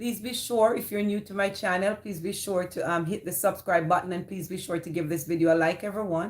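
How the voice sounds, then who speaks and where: A woman with a Jamaican accent talks at a fairly quick pace, with hardly any pauses and fairly even intonation. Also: medium pitch for a woman. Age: 50s. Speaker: live streamer. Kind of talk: casual chat.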